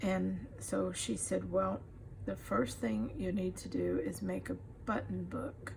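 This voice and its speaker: A woman speaks very slowly in a very deep, low pitch, her intonation monotone and flat. Audible room echo surrounds her voice. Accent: Texan. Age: 70s. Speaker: crafter. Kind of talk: casual tutorial.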